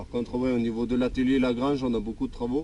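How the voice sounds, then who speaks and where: A man at a very fast pace, with fairly even intonation and a dark, mellow tone. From Denmark, then southern France from age 14. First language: Danish (speaking French). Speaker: YouTuber, mechanic vlogger. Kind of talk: casual Q&A answering viewer questions. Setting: outdoors. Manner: hesitant, many fillers.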